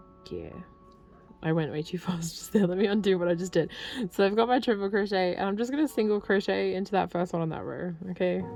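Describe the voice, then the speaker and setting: Music plays in the background as a woman at a medium pitch talks at a very fast pace. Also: ordinary pitch variation. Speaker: crochet youtuber. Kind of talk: tutorial. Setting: home apartment, window open. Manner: casual, with fillers.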